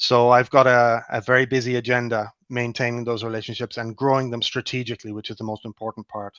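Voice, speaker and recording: A man speaks at a very fast pace in a medium pitch with monotone, flat intonation, recorded dry and close with no echo against a quiet background. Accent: Irish. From Ireland. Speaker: clinical research relationship manager. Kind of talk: webinar panel talk. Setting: video call.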